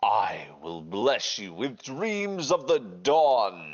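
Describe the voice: Using a put-on character voice, a man speaks at a very slow pace and medium pitch.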